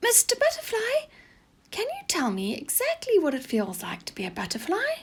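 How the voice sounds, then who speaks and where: A woman's put-on, squeaky character voice at an extremely high pitch, moderate pace and big swings in loudness. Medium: read story.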